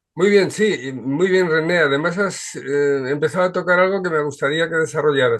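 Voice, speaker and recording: This man has a fairly high pitch and an ordinary speaking voice. He talks at a moderate pace with ordinary pitch variation. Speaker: show host. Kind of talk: video call discussion.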